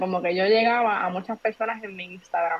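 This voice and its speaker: A woman with a medium pitch talks at a fairly quick pace in fairly even intonation, an unremarkable speaking voice. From Puerto Rico, Trujillo Alto. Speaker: entrepreneur and content creator. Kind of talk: casual interview chat.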